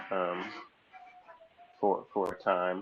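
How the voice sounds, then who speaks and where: A man speaks fairly slowly against noticeable background noise. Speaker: government official. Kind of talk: public hearing, formal meeting. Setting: video call.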